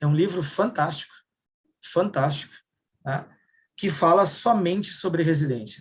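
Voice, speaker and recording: A man with a high-pitched voice talks at a fairly slow pace, leaving long, frequent pauses. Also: ordinary pitch variation. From southern Brazil, Rio Grande do Sul. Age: 50s. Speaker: workshop speaker. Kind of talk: workshop talk.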